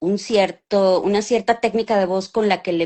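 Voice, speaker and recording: A woman at a medium pitch, moderate pace, and fairly even intonation. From Mexico City. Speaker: voice actress. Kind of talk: interview. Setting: live stream video call.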